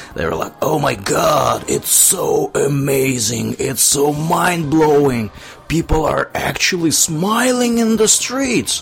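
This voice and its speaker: A man with a Russian accent at a very slow pace, noticeable background noise behind him. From Tver, Russia. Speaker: podcast host. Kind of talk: casual chat.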